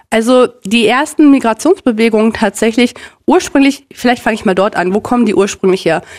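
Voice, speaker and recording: With an ordinary speaking voice, a woman talks at a fairly quick pace, her fairly high pitch carrying lively intonation at very even loudness. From Germany, North Rhine-Westphalia (Minden). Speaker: Sinti activist and university student. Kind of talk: interview.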